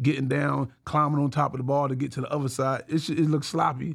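A fairly high-pitched male voice with an American accent, fairly quick and monotone with flat intonation. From Brooklyn, New York. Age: 40s. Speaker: calisthenics athlete. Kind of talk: casual interview.

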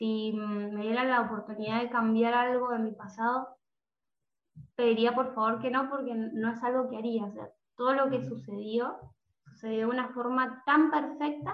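A woman with a fairly high pitch speaks at a fairly slow pace and with fairly even intonation, with audible room echo. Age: 20s. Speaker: music teacher and coach. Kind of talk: interview conversation.

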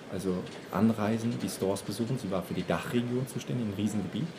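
Over noticeable background noise, a man talks at a fairly quick pace, his fairly low pitch moving with ordinary variation. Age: 30s. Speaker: fashion retail manager. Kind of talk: casual interview. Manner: hesitant, many fillers.

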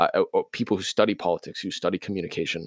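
A man speaks at a very fast pace. The recording is very clean with a silent background and a dry, close sound with no echo. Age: 20s. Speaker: college student and intern. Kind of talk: casual interview. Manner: halting, frequent repetitions.

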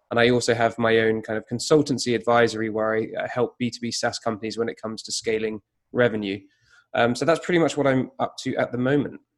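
A man with a British accent, medium pitch and fairly even intonation, at a very fast pace. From UK. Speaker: digital marketing consultant. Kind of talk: interview conversation.

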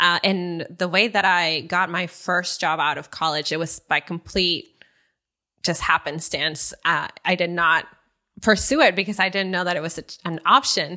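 Speaking with a Spanish accent, a woman uses a bright, sharp tone at fairly low pitch, with fairly even intonation and a moderate pace against a quiet background. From northern Mexico, Saltillo. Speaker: nonprofit worker and dancer. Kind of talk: interview.

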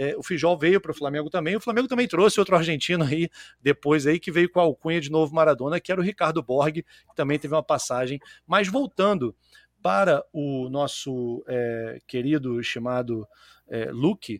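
An unremarkable speaking voice from a man, fairly high in pitch, with lively intonation at a moderate pace, recorded dry and close with no echo. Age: 40s. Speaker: podcast host. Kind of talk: casual chat. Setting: live stream.

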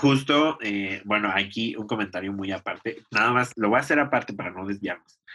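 Speaking at a moderate pace with hardly any pauses, a man has a fairly low pitch, a bright, sharp tone, and ordinary pitch variation. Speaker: podcast co-host. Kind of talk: casual chat.

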